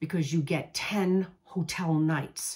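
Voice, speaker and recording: A woman with a New York accent, her pitch fairly low, her pace fairly slow and her intonation fairly even. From US Northeast, New York. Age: 60s. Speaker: travel coach. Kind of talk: casual talk to camera; sales pitch. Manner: casual.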